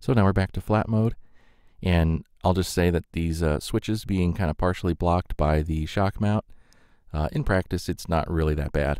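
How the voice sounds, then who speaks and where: With a very deep, low pitch, a man talks at a moderate pace in a dry, close recording with no echo. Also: ordinary pitch variation. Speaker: microphone reviewer. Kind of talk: tutorial. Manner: halting, many fillers.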